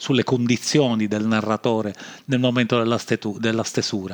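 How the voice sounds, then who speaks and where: A man with a Sicilian accent speaks at a moderate pace and medium pitch. His intonation is fairly even, and the sound is dry and close with no echo. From Sicily. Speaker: podcast host. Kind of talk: improvised monologue. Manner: hesitant, many fillers.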